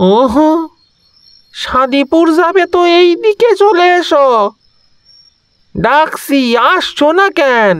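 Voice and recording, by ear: At a very slow pace, a put-on character voice speaks with a high pitch.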